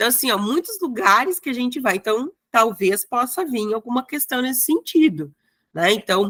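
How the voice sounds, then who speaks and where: A woman talks in a high voice with a strong gaúcho accent. Her pitch swings very widely at a moderate pace. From Rio Grande do Sul, Brazil (Passo Fundo). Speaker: exam prep teacher. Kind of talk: online lecture. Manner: casual, hesitant.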